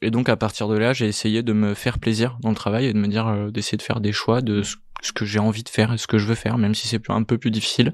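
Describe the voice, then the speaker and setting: Over a quiet background, the speaker talks at a very fast pace in a monotone, flat intonation. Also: man, fairly low pitch for a man. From Italy, moved to France at 13. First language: Italian (speaking French). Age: 30s. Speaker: entrepreneur, startup co-founder. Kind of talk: interview conversation. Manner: hesitant, many fillers.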